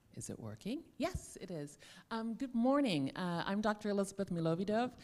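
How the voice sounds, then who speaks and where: A woman with an American accent, an ordinary speaking voice, medium pitch and a fairly quick pace. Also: lively intonation. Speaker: digital parenting expert, panelist. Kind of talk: panel discussion.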